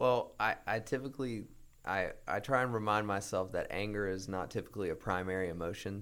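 Speaking at a fairly quick pace, a man with a fairly low pitch uses ordinary pitch variation in a very clean recording with a silent background. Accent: American. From North Carolina. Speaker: client services representative. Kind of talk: casual interview. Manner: hesitant, many fillers.

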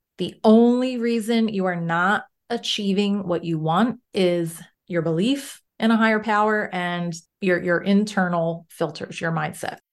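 A woman with a normal speaking voice, medium pitch and ordinary pitch variation, at a fairly slow pace against a quiet background. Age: 40s. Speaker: mindset coach. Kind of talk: interview.

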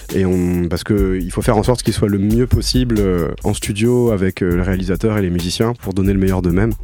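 Noticeable background noise sits behind a voice moving at a fairly quick pace with ordinary pitch variation. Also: man, very deep, low pitch for a man. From France, Toulouse. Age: 20s. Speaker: musician and record producer. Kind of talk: radio interview. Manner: halting.

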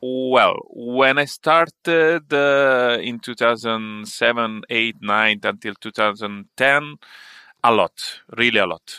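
A man with an Italian accent, bright and sharp in tone, at medium pitch with ordinary pitch variation and a very slow pace, in a dry, close, very clean recording with no echo and a silent background. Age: 40s. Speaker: tech entrepreneur and consultant. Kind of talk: casual interview. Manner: halting, many fillers.

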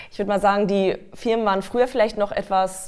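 A medium-pitched woman's voice comes through on a very clean recording with a silent background. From Westphalia, Germany. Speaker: singer-songwriter and voice trainer. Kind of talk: casual interview.

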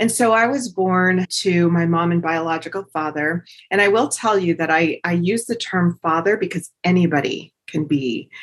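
A woman with a plain, everyday voice speaks at a moderate pace, her fairly low pitch moving with ordinary variation. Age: 50s. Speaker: podcast host. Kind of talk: solo motivational talk.

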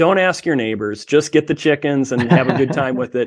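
With a quiet background, a man speaks in a plain, everyday voice with ordinary pitch variation. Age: 40s. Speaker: homesteader and tech consultant. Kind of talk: interview.

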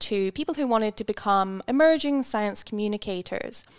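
A woman with a Scottish accent speaks at a moderate pace with ordinary pitch variation, in a dry, close sound with no echo. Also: very clean recording, silent background. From Scotland. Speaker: volcanology PhD student. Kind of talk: interview.

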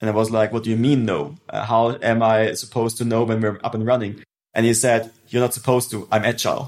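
Very fast speech in a German accent with fairly even intonation. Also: man, medium pitch for a man. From southwest Germany, Stuttgart. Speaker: startup founder. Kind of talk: interview.

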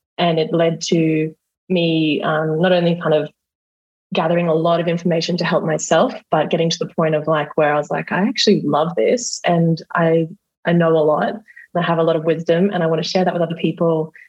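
Speaking at a fairly quick pace with an Australian accent, a woman uses a fairly low pitch and very even loudness. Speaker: hypnotherapist. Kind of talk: coaching session. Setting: video call.

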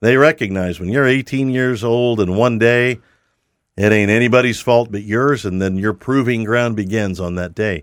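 The recording is very clean with a silent background. A man with a normal speaking voice talks at a moderate pace, with ordinary pitch variation. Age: 60s. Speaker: podcast host. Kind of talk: interview conversation.

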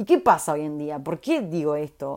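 A woman speaks at a moderate pace with an animated tone and very wide pitch swings, in a Rioplatense accent. The recording is very clean, with a silent background. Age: 30s. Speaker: podcast host. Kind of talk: casual monologue.

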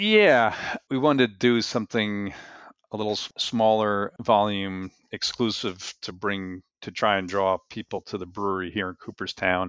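An unremarkable speaking voice: a man at fairly low pitch, fairly even in intonation, at a moderate pace, with big swings in loudness. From New Jersey. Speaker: brewmaster. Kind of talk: interview.

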